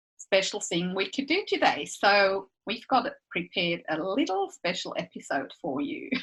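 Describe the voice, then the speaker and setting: A woman's medium-pitched, bright and sharp voice with a Swiss accent, very wide pitch swings, and a fairly slow pace. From Switzerland. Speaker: podcast co-host. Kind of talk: casual chat.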